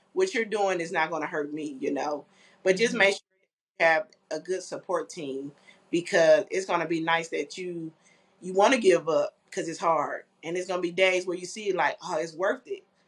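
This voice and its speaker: A woman with an American accent has a plain, everyday voice, a fairly low pitch and ordinary pitch variation, speaking at a moderate pace with big swings in loudness. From Flint, Michigan. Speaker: clothing line founder. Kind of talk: interview. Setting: video call.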